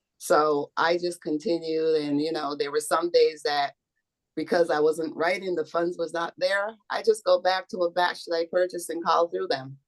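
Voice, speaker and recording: With an unremarkable speaking voice, a woman of fairly low pitch talks at a moderate pace with fairly even intonation in a dry, close sound with no echo. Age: 60s. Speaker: insurance sales agent. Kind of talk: interview.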